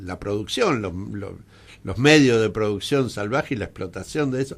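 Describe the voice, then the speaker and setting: A normal speaking voice from a man, fairly low in pitch with ordinary pitch variation, at a moderate pace on a very clean recording with a silent background. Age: 60s. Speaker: radio host. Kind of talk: radio interview. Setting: radio studio.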